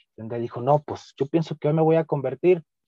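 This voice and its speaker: At a very fast pace, the speaker has a dark, mellow tone and ordinary pitch variation. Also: man. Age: 20s. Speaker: youth ministry coordinator. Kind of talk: podcast interview. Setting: video call.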